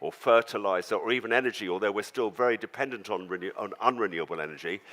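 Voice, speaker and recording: In a southern English accent, the bright, sharp tone comes at a very fast pace on a very clean recording with a silent background. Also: man. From London, England. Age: 70s. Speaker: farmer. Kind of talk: talk to audience.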